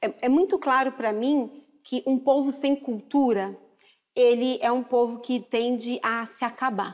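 Her high-pitched voice moving at a fairly slow pace, a woman speaks over a quiet background. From Brazil. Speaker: chef and culinary historian; guest. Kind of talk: TV talk show discussion. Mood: earnest, impassioned. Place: studio.

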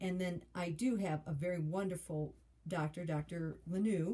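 Her tone is dark and mellow, and somewhat breathy. The woman speaks at a fairly low pitch with ordinary pitch variation. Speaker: health vlogger. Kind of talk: casual vlog chat. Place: home room. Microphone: phone near.

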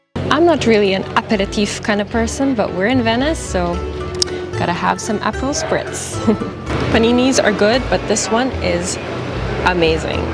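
A woman at a moderate pace, with long, frequent pauses and clear music in the background. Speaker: travel vlogger. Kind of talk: casual vlog chat. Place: waterside. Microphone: phone near.

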